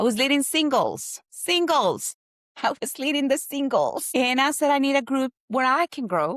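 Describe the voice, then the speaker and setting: In a Spanish accent, a woman speaks at a fairly slow pace and a high pitch, in a very clean recording with a silent background and a dry, close sound with no echo. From Colombia. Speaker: guest sharing personal testimony. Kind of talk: testimony.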